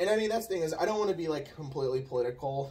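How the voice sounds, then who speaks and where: Soft-spoken and somewhat breathy, a man talks with lively intonation. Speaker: channel co-host. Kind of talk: casual chat. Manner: quiet, soft-spoken.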